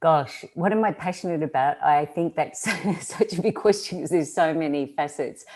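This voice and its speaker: A woman with an Australian accent, a dark, mellow tone, fairly low pitch, ordinary pitch variation and a moderate pace, on a very clean recording with a silent background. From Australia, rural. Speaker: social-change agent, entrepreneur. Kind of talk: interview. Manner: halting, many fillers.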